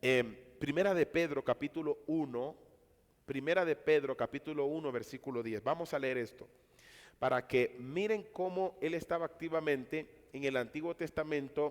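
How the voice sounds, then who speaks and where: Recorded very cleanly with a silent background, a man has a plain, everyday voice at a fairly high pitch, with ordinary pitch variation and a moderate pace. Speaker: Bible teacher. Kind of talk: lecture.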